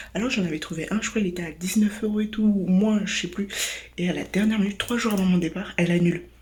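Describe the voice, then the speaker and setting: A woman's medium-pitched voice at a very fast pace, fairly even in intonation, with noticeable background noise. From France. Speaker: travel vlogger. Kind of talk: casual vlog. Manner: hesitant, many fillers.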